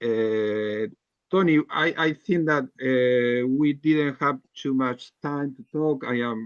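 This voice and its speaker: A man with a non-native accent at medium pitch, ordinary pitch variation and a very slow pace. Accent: non-native English accent, self-described. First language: not English. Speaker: healthcare worker and writer. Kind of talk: group video call discussion. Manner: halting.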